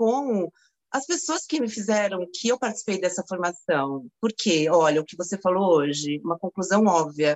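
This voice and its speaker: Very wide pitch swings at a fairly slow pace. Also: woman. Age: 50s. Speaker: yoga teacher. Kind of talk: testimony.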